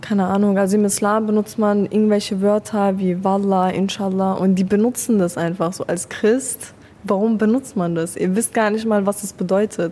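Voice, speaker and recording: The speech moves at a moderate pace in a monotone, flat intonation. Noticeable background noise runs underneath. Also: woman. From Germany (Afghan family, born in Iran). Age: young. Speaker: student. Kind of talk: casual chat. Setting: café in front of a cinema.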